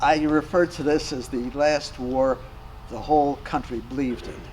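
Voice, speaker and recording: With noticeable background noise present, a fairly high-pitched man talks with ordinary pitch variation. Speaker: war veteran. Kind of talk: casual chat. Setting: round table in a hall after a club meeting.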